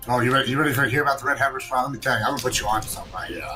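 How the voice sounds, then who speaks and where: Against noticeable background noise, a man mumbles at a very fast pace with a medium pitch and fairly even intonation. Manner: mumbling.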